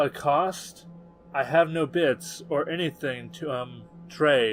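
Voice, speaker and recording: Someone delivers lines in a put-on character voice at a fairly slow pace, with clear music in the background. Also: man, fairly high pitch for a man. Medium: read story. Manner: stammering, nervous.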